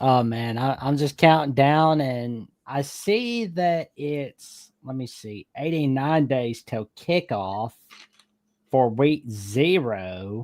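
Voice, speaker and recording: A very slow-paced man with a Southern US accent, medium in pitch, with lively intonation and big swings in loudness. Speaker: sports fan caller. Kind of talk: casual chat.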